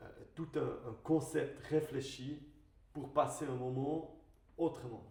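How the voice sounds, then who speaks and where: A man speaks very slowly in a flat monotone, his pitch fairly high, with a slight non-native accent. Room echo is audible. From Switzerland. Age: 30s. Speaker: wine merchant and business owner. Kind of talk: podcast interview. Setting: studio video podcast. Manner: halting, many hesitations.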